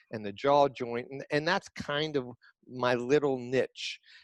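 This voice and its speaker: This man has a medium-pitched voice. The recording is very clean with a silent background and a dry, close sound without echo. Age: 70s. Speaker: retired periodontist. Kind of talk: interview.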